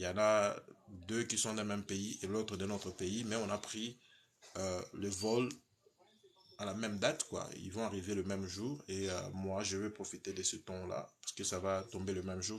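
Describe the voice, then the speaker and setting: The delivery moves at a moderate pace with fairly even intonation. The background is quiet. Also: man. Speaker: visa consultant and channel host. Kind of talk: live stream chat. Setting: live from home. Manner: halting, many fillers and repetitions.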